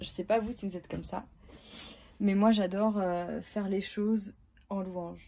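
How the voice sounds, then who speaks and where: The speaker's dark, mellow tone stays monotone and flat as the words come at a fairly slow pace. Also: woman. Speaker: family vlogger. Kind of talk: casual vlog. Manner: hesitant, many fillers.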